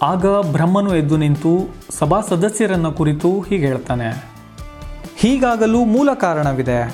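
Music plays in the background. Over it, a man speaks with lively intonation. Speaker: narrator, journalist, actor and voice-over artist. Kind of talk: mythological storytelling narration.

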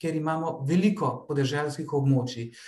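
With audible room echo, a man speaks at a moderate pace and fairly even intonation. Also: quiet background. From Slovenia. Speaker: researcher and doctoral student in geography; presenter. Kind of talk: conference presentation. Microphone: video call.

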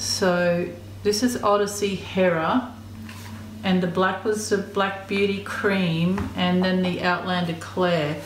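Over light background noise and audible room echo, a woman with an Australian accent speaks at a very slow pace with very even loudness. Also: ordinary pitch variation. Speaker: YouTuber. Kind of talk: unboxing video. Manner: casual. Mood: pleased, appreciative. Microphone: phone near.

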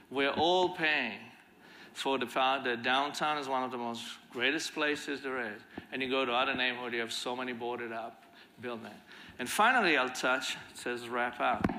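A man talks at a moderate pace with fairly even intonation. Light background noise can be heard. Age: 50s. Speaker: violence prevention leader; conference speaker. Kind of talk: conference talk. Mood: earnest, reflective. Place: stage. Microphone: lapel.

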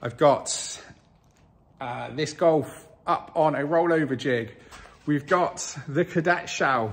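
A man does the talking. His pitch shifts in an ordinary way. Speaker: car project vlogger. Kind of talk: casual vlog chat. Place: garage. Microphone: phone near.

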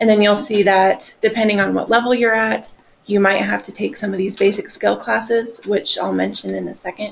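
There is light background noise. A woman talks at a fairly quick pace. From Nebraska, North Platte; Nebraska. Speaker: continuing education coordinator; presenter. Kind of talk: webinar presentation. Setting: live online webcast. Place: meeting room.

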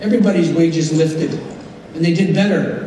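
Talking at a fairly quick pace, a man with a high pitch keeps a fairly even intonation, with audible room echo and light background noise in the recording. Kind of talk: convention speech. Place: hall. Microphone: podium.

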